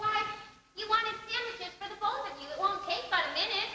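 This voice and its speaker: In a put-on character voice, a woman sounds squeaky and extremely high-pitched, talking at a fairly quick pace with big swings in loudness and a clear echo. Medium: stage play. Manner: gentle, motherly.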